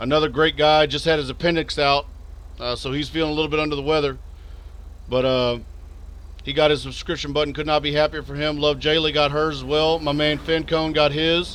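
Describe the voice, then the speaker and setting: Noticeable background noise surrounds a man with a Texas accent and a fairly high pitch. He talks at a fairly quick pace in a monotone, flat intonation. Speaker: video game streamer. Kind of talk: live stream commentary.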